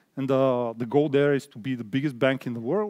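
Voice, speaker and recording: In a Bulgarian accent, a man speaks at a fairly high pitch with fairly even intonation. The recording is very clean, with a silent background and a dry, close sound with no echo. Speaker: product designer. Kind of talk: conference talk. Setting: stage with audience. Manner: halting, many fillers.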